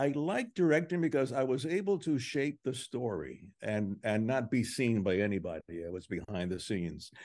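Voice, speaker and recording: At a fairly slow pace, a man talks with very wide pitch swings over a quiet background. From Cuba. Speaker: television director and producer. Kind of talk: interview. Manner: halting, many fillers and repetitions.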